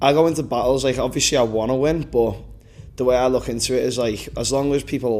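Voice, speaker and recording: Speaking at a moderate pace with a Liverpool accent, a man keeps a medium pitch and fairly even intonation. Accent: Liverpool (Scouse). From Liverpool, England. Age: 20s. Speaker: battle rapper. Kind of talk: pre-battle interview.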